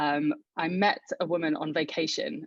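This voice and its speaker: This woman's voice has a very deep, low pitch. Her pitch varies in an ordinary way. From southern England, Buckinghamshire. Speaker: marketing executive. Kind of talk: interview. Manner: halting.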